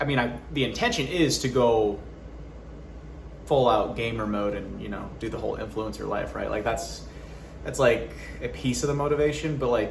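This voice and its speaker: A man talks with long, frequent pauses. Noticeable background noise and audible room echo are present. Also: moderate pace. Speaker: YouTuber and actor. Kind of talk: personal update vlog. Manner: loud, projecting; animated.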